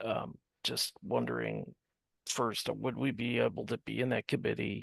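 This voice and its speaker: A quiet male voice at very even loudness, in a dry, close sound with no echo. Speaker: state party representative. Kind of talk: committee meeting discussion. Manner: slow.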